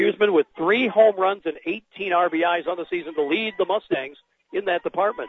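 A man's high voice rises and falls in an ordinary way as he talks at a moderate pace. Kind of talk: live play-by-play commentary on high school softball. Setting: outdoors at the ballpark, broadcast booth. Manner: animated, brisk play-by-play delivery, calling each pitch as it happens.

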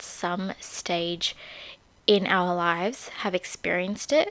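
A woman speaks in an Australian accent at a medium pitch. Her pace is very slow. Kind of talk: casual solo talk with faith themes. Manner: casual, many fillers.

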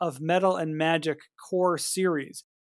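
An ordinary speaking voice from a man, fairly high in pitch, with fairly even intonation on a very clean recording with a silent background. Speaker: podcast co-host.

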